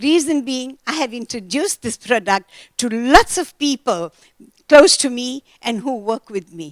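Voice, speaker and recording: A high-pitched woman speaks at a fairly slow pace with very wide pitch swings and big swings in loudness, in a dry, close sound with no echo. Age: 70s. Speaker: entertainer and network marketer. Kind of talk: testimony.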